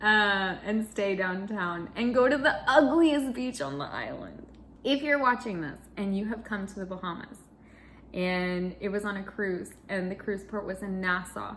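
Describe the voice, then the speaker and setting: A woman's medium-pitched voice with lively intonation, a fairly slow pace and audible room echo. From Chile and US. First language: Spanish (bilingual). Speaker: cross-stitch vlogger. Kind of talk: casual chat.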